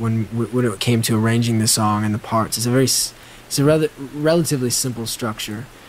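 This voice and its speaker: A man with a mid-range pitch talks as clear background noise plays behind him. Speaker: rock guitarist interviewed on podcasts and radio. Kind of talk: interview answers. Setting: interview recording, edited compilation with rain sounds.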